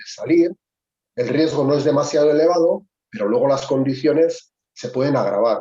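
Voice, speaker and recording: Moving at a moderate pace, the voice carries a dark, mellow tone. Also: man. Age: 60s. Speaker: veteran ski mountaineer. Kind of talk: webinar discussion. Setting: video call. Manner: halting.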